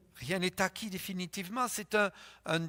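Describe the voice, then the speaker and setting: In a raised, projected voice, a man speaks at a high pitch, the recording very clean and silent behind him, dry and close with no echo. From France. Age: 70s. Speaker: pastor. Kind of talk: sermon.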